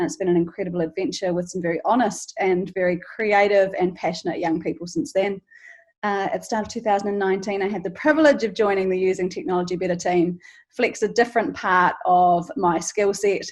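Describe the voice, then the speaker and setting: A woman with a New Zealand accent speaks at a fairly quick pace, her pitch medium and her intonation varying in an ordinary way. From New Zealand, Canterbury. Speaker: charity founder and teacher. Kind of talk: interview podcast.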